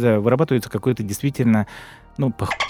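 Recorded dry and close with no echo, a man with an unremarkable speaking voice talks at medium pitch with fairly even intonation. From Krasnodar, southern Russia. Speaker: podcast co-host. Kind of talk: casual chat.

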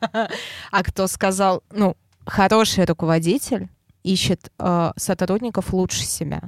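Speaking at a very slow pace with long, frequent pauses, a woman keeps a medium pitch and fairly even intonation in a dry, close recording with no echo. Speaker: head of traffic team. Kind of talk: casual interview.

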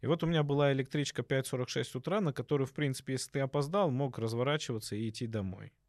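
At a very fast pace with hardly any pauses, a man speaks at a medium pitch with ordinary pitch variation, in a dry, close sound with no echo on a very clean recording with a silent background. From Obninsk, Russia, in a Georgian diaspora. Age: 30s. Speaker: dental surgeon. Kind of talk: casual chat.

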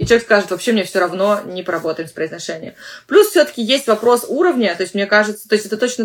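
A woman speaks in an ordinary speaking voice at a medium pitch. Her pitch variation is ordinary. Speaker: English teacher and podcast host. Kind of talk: solo podcast monologue. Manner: conversational with frequent fillers.

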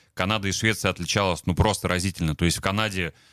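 Bright and sharp in tone, this voice has fairly even intonation and a dry, close sound with no echo, recorded very cleanly against a silent background. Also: man. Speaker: former ice hockey player. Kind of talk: radio interview. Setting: studio.

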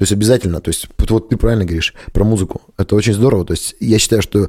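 Talking at a very fast pace, a man with a fairly low pitch has a dark, mellow tone. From rural Russia, village. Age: 30s. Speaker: restaurant and bar owner. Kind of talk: casual interview.

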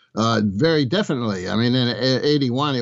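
This is a man with an unremarkable speaking voice. His pitch is medium. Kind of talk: radio interview.

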